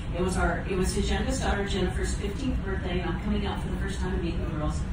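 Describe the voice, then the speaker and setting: Over loud background noise and audible room echo, a woman talks at a very fast pace. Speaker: storyteller on a cruise event. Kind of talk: personal storytelling to an audience. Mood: warm, emotional reminiscing. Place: stage.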